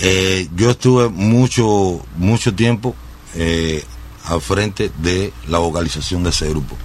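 Lively intonation at a very slow pace. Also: man. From Cuba, Sagua la Grande. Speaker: singer. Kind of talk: radio interview. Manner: halting, many fillers.

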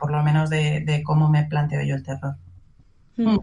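At a moderate pace, a woman talks in a very deep, low, somewhat breathy voice. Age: 40s. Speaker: horror writer. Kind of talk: casual chat.

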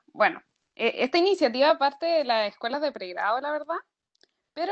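High-pitched and lively, a woman talks at a fairly quick pace. The sound is dry and close, with no echo. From Maule region, Chile. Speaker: university student. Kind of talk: casual chat.

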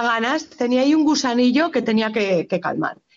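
The woman speaks at a fairly high pitch with ordinary pitch variation. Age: 40s. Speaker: fabric shop owner. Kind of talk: interview. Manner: animated.

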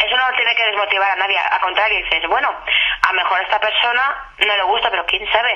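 Over noticeable background noise, a woman at a medium pitch talks at a very fast pace. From Spain, Benidorm (Valencian Community). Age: 30s. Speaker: aspiring singer. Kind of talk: radio interview.

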